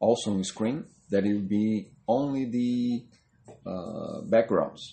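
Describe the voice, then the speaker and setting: Someone with a non-native accent speaks at a very slow pace while music plays in the background. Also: man. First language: not English. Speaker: comic artist. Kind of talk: drawing tutorial narration. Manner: halting, many fillers; casual, talking while drawing.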